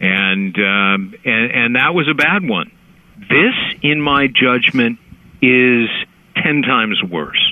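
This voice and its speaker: Over noticeable background noise, a man with an American accent speaks very slowly at a medium pitch, with lively intonation and very even loudness. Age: 60s. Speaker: lawyer and author. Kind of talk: interview.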